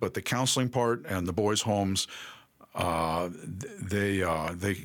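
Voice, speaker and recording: With an American accent, a man speaks in a very deep, low pitch with ordinary pitch variation. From New York City. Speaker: family ministry director. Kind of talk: interview.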